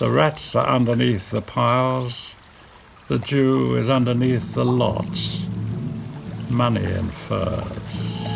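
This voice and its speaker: Over noticeable background noise, the speaker talks at a very slow pace. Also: man. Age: 90s. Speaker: poet reading his own poem. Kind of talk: poetry reading.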